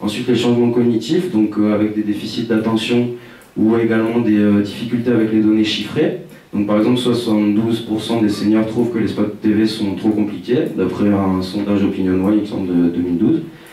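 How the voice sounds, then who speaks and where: Fairly quick speech with ordinary pitch variation and very even loudness, amid audible room echo and noticeable background noise. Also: man, fairly low pitch for a man. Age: 20s. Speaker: researcher. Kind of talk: conference presentation. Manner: fast; hesitant, many fillers.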